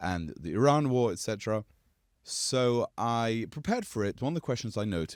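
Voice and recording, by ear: In a natural voice, a text is read aloud.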